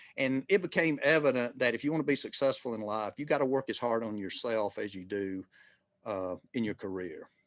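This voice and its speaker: A medium-pitched man with a Southern US accent, lively intonation and a fairly quick pace, against a quiet background. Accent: Southern US (Georgia). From US South, rural Georgia. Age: 60s. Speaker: retired marketing executive. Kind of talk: interview conversation. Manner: halting, many fillers and restarts.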